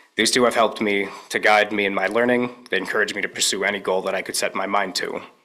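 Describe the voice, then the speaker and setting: Loud and very fast, a man speaks in a fairly low pitch with a bright, sharp tone and fairly even intonation. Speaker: graduating student speaker. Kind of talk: ceremony speech. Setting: small room with audience.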